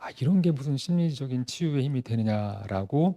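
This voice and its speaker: Talking at a fairly quick pace, a man has a dark, mellow tone. The sound is dry and close, with no echo. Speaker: photographer giving a lecture. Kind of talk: lecture.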